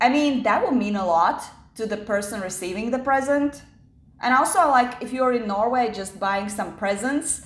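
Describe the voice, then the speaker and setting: Speaking with a non-native accent at a moderate pace, a woman uses a fairly high voice with ordinary pitch variation amid audible room echo. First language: not English. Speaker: YouTuber. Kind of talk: storytelling vlog. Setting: home kitchen. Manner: casual, with fillers.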